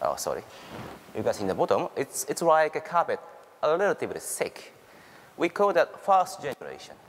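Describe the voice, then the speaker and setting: A man with a Japanese accent talks at a fairly quick pace. His speech has long, frequent pauses. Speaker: university researcher. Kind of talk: conference presentation. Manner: halting.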